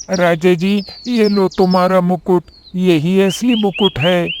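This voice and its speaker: A cartoonish character voice at a middle pitch moves along at a fairly slow pace. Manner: confident.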